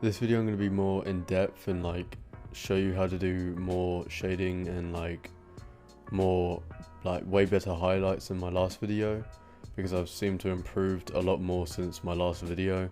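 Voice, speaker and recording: Music plays in the background as a man talks in a very deep, low voice. His intonation stays monotone and flat. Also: moderate pace. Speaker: digital art tutorial maker. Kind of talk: screen-recorded tutorial narration. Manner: casual, hesitant.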